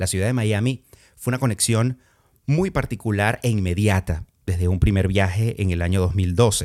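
A man's unremarkable speaking voice, fairly low in pitch. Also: ordinary pitch variation, moderate pace. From Venezuela, Andean region (Valera, Trujillo). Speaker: podcast host, former radio presenter. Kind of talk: casual monologue.

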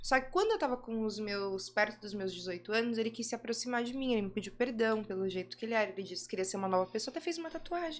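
With a fairly high pitch and lively intonation, a woman talks at a very fast pace. She leaves hardly any pauses. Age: 20s. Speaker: adult film actress and director. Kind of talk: casual interview chat.

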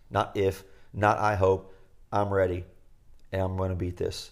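Speaking at a fairly slow pace, a man uses a very deep, low voice in a monotone, flat intonation. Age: 40s. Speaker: podcast co-host, retreat facilitator. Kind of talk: casual chat.

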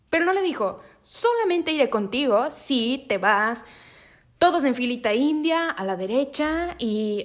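A woman talks at a fairly slow pace with an animated tone. Her intonation is lively. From northern Mexico, Monterrey. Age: 20s. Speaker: podcast host. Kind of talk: casual faith monologue.

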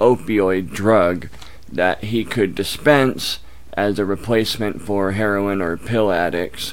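At a fairly slow pace, a man speaks in a plain, everyday voice with a fairly low pitch. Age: 30s. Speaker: YouTuber on addiction recovery. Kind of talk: casual chat.

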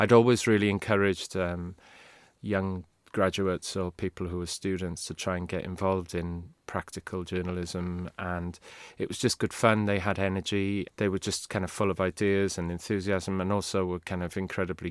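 A man with a Welsh accent speaks at a moderate pace in a very deep, low voice with monotone, flat intonation, recorded very cleanly with a silent background and a dry, close sound with no echo. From Wales. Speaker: university lecturer and former journalist. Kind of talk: casual interview chat.

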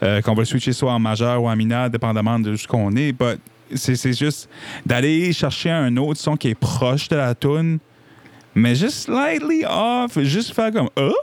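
A man at medium pitch and moderate pace, with ordinary pitch variation and very even loudness. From New Brunswick, Acadian (Petit-Rocher). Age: 20s. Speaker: singer-songwriter. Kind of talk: casual interview chat. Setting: basement studio.

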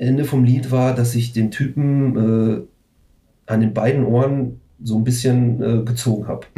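A man speaks at a medium pitch with a dark, mellow, somewhat breathy tone. His flat, monotone delivery is fairly slow, with long, frequent pauses. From Ruhr area, Germany (Recklinghausen). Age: 40s. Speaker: punk/metal band musician. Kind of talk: casual chat.

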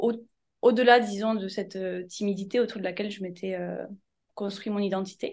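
Flat, monotone intonation from a woman, medium-pitched and at a moderate pace. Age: 30s. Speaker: essential oils wellness consultant. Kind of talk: interview.

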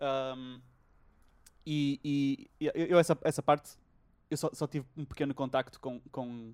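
On a very clean recording with a silent background, a man with a fairly high pitch speaks very slowly in a flat monotone, with long, frequent pauses. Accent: European Portuguese. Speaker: podcast host. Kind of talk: casual chat. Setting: home recording during lockdown.

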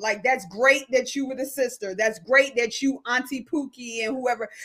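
A woman speaks in a raised, projected voice at a high pitch, her tone bright and sharp and her intonation fairly even. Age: 40s. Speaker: podcast host. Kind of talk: casual chat.

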